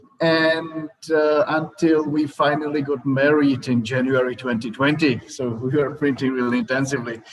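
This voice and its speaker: A man with a Czech accent speaks at a fairly high pitch and a moderate pace, with fairly even intonation and hardly any pauses. Noticeable background noise runs underneath. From Czech Republic. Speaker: startup founder. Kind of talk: startup pitch presentation. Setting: virtual event livestream. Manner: hesitant, many fillers.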